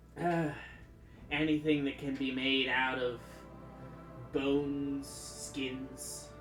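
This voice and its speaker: Over clear music in the background, a put-on character voice at a low-to-middle pitch speaks very slowly. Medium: actual play.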